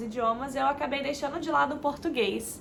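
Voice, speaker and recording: This woman has a high pitch. She speaks at a moderate pace. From Minas Gerais, Brazil and Florida, USA. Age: 20s. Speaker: travel vlogger. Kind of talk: casual personal introduction vlog. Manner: hesitant, many filler words.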